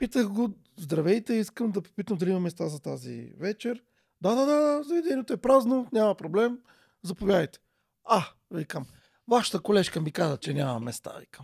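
A high-pitched man speaks at a moderate pace, with very wide pitch swings and big swings in loudness. The background is quiet. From Bulgaria, Vratsa region; Bulgaria. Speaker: parent outreach expert; podcast guest. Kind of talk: casual chat. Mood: animated, indignant at times. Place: studio. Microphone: studio mic.

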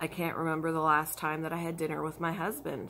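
The voice belongs to a woman with a fairly low pitch. Her tone is bright and sharp. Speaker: crafter vlogger. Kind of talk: casual vlog chat. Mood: frustrated about work hours. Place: home room. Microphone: phone near.

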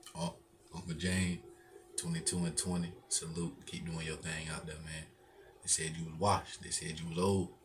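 Noticeable background noise sits behind a man with a very deep, low voice. He speaks in a flat monotone. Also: moderate pace. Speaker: YouTube sports reaction creator. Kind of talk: live sports reaction commentary. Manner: casual, laughing, chatty. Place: home room. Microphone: webcam.

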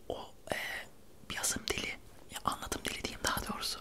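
Noticeable background noise accompanies a man whispering at a moderate pace. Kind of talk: casual talk to camera, book review.

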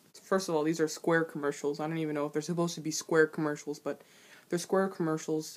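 Music plays behind a woman with a very deep, low voice. Her intonation stays fairly even. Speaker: reaction vlogger. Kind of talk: casual reaction commentary. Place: home room. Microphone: webcam.

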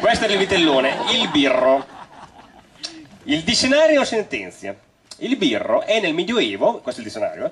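A man speaks at a moderate pace with long, frequent pauses, his high pitch swinging very widely. Noticeable background noise runs underneath. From Romagna, Italy. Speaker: storyteller. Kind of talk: live stage comedy talk to audience.

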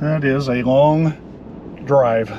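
A man speaks with ordinary pitch variation in a dry recording with no echo but noticeable background noise. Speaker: travel vlogger. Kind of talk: casual vlog chat. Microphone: phone near.

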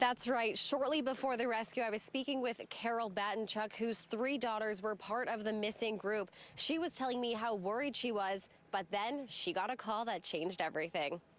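At a moderate pace, a woman talks with ordinary pitch variation and very even loudness in a dry sound with no echo. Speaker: news anchor and reporter. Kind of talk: TV news report. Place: street. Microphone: handheld.

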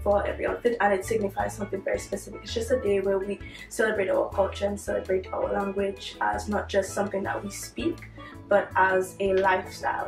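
Talking at a fairly quick pace, a woman is heard with audible room echo and faint music in the background. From Dominica. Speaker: university student. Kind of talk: interview answer. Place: home room.

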